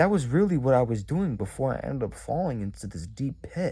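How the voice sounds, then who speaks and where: This man's voice has a dark, mellow tone, some vocal fry, and lively intonation at a moderate pace. The recording is very clean, with a silent background. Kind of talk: casual vlog talk. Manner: halting.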